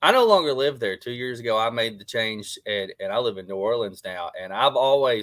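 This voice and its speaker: A medium-pitched man with an Arkansas accent, at a fairly quick pace, with hardly any pauses, ordinary pitch variation and big swings in loudness. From Arkansas (Jonesboro). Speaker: former pro wrestler, show co-host. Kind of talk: casual chat.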